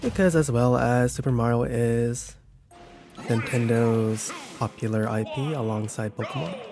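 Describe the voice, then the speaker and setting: Music plays in the background as a soft-spoken man talks at a medium pitch. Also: ordinary pitch variation, fairly slow pace. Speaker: gaming streamer. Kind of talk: live gameplay commentary. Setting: live stream. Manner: quiet.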